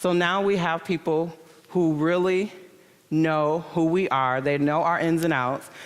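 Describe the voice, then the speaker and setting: A woman's fairly low-pitched voice. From Michigan, US Midwest. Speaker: entrepreneur and conference speaker. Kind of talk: conference talk. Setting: stage with audience. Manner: animated.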